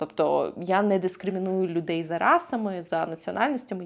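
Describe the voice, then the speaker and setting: Speaking fairly quickly, a woman uses a plain, everyday voice at a medium pitch. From Ukraine. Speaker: vlogger. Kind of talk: vlog monologue to camera.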